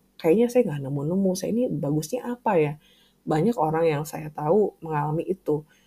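A woman with a very deep, low voice, dark and mellow in tone and somewhat breathy, talks at a fairly quick pace. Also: lively intonation. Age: 40s. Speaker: podcast host, writer and language teacher. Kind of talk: solo podcast monologue.

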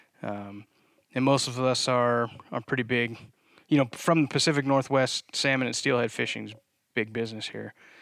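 On a very clean recording with a silent background, a man speaks at a moderate pace and medium pitch. He has a plain, everyday voice with fairly even intonation. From US East Coast. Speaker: podcast co-host and company co-founder. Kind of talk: casual chat.

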